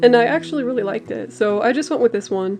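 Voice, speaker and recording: Very fast, mumbling speech from a woman over music in the background. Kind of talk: casual voiceover commentary while drawing. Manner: mumbly.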